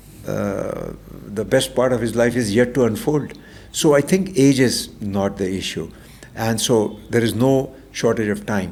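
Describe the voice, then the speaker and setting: There is noticeable background noise as a man speaks fairly slowly at medium pitch with ordinary pitch variation. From India. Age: 70s. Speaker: transformational coach. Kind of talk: interview conversation.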